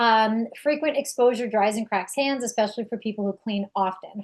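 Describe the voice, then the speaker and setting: In a New York accent, a woman talks at a moderate pace in a fairly high voice with fairly even intonation. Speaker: direct sales distributor. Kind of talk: product presentation.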